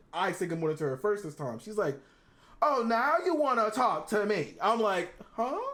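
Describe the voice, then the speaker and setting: A man with a high pitch talks at a moderate pace in an animated tone with very wide pitch swings. Noticeable background noise is present. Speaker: podcast co-host. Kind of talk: casual chat.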